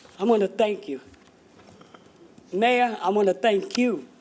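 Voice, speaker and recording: Noticeable background noise accompanies a woman speaking at a fairly slow pace. Her medium-pitched voice has lively intonation. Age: 70s. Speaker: resident speaking at public comment. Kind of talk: public comment testimony. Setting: city council meeting. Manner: impassioned.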